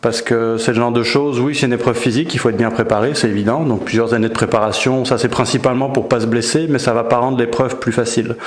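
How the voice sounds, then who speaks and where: Against noticeable background noise and audible room echo, a man at medium pitch rattles off words at a very fast pace with hardly any pauses, a monotone, flat intonation and very even loudness. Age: 40s. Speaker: ultra-trail runner. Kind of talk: interview. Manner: hesitant with filler words.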